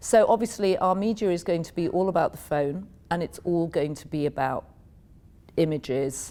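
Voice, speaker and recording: A woman's dark, mellow voice with an American accent, at a moderate pace and with ordinary pitch variation. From England, Yorkshire. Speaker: media executive. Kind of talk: interview.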